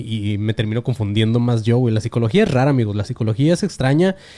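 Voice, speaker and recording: A man's medium-pitched voice with a dark, mellow tone, in a Mexican accent. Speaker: podcast host. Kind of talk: casual monologue podcast. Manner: fast.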